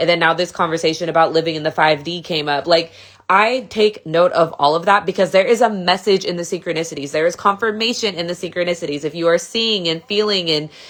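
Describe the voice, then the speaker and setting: Talking at a very fast pace with hardly any pauses, a woman uses a fairly low pitch. Her pitch varies in an ordinary way. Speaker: spiritual content creator. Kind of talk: casual monologue. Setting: at home in bed. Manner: animated.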